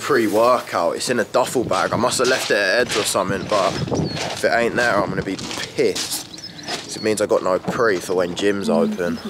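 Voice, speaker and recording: A man speaks at a moderate pace. Background noise is noticeable. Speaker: fitness vlogger. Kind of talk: casual vlog chat.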